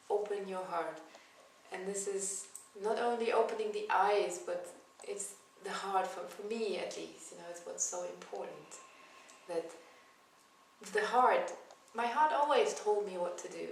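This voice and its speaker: Amid noticeable background noise and audible room echo, a woman speaks at a moderate pace with long, frequent pauses. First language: not English. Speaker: yoga teacher. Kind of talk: spiritual talk. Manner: hesitant, with fillers.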